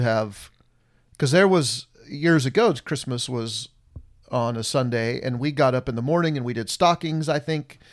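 Recorded very cleanly against a silent background, a man with an unremarkable speaking voice talks at a medium pitch and moderate pace, with ordinary pitch variation. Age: 50s. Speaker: podcast co-host, father of the subject. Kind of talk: casual chat.

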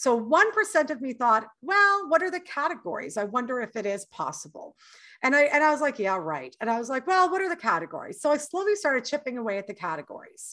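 Projecting at a high pitch, a woman with a Canadian accent talks very fast in a bright, sharp tone, her pitch swinging very widely against a quiet background. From Canada. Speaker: author and voice coach. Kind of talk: interview. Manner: animated.

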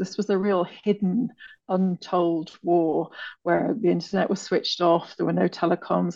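In a British accent, a woman with vocal fry speaks at a fairly slow pace, her medium pitch showing ordinary variation. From Britain. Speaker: author and Ethiopia consultant. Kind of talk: interview.

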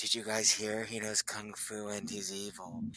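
A man puts on a character voice, fairly low in pitch, at a moderate pace. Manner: gossipy, campy.

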